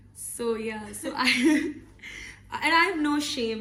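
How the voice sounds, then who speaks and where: A woman speaks. The room echo is audible. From Pakistan, Lahore. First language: not English. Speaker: podcast co-host. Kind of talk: casual chat.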